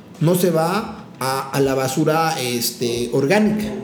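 An animated man with a high pitch, ordinary pitch variation and a Mexican accent, amid audible room echo and noticeable background noise. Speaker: chef. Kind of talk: casual chat.

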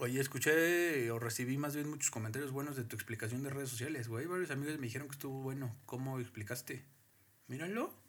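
A man talks at a very fast pace. His medium-pitched voice shows ordinary pitch variation. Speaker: podcast co-host. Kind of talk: casual chat. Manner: loud.

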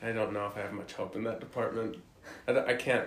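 Fairly quick talk from a man, echoing through the room, with noticeable background noise. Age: 20s. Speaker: college football player. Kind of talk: casual chat.

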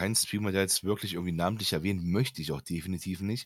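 A very fast man's voice, fairly low in pitch with ordinary pitch variation, on a very clean recording with a silent background. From Germany. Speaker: podcast co-host, gamer. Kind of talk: casual chat.

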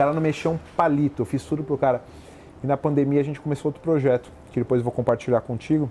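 This man talks at a very fast pace with a fairly high pitch. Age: 30s. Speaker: lawyer and entrepreneur. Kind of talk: interview. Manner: animated.

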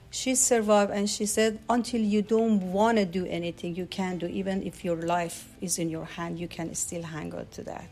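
A woman speaks at a medium pitch with a Persian accent and ordinary pitch variation. She keeps a moderate pace with hardly any pauses, and music plays in the background. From Iran. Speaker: special education aide. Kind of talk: interview. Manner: halting.

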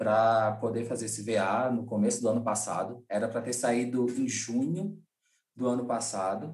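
A man speaks at a medium pitch and moderate pace. His voice is somewhat breathy, with ordinary pitch variation. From Brazilian Northeast, Rio Grande do Norte. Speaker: event producer and music booker. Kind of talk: casual interview.

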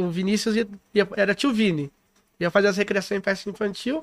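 The sound is dry and close, with no echo. A man speaks at a high pitch. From São Paulo city (Itaquera, east side). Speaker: recreation and events entrepreneur. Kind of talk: podcast interview.

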